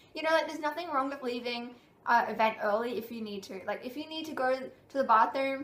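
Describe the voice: Audible room echo surrounds a woman speaking fairly quickly in a fairly high pitch with a fairly bright tone.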